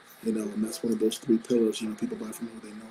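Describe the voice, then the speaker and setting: The voice is quiet. Noticeable background noise runs behind it. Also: man. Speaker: business co-host. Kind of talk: live stream talk.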